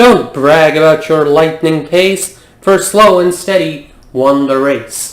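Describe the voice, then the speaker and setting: Using a put-on character voice, a man speaks at a fairly slow pace in a fairly high pitch. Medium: read story.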